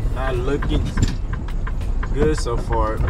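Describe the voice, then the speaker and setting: Fairly slow speech under loud background noise. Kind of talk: casual vlog chat. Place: car. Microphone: camera far.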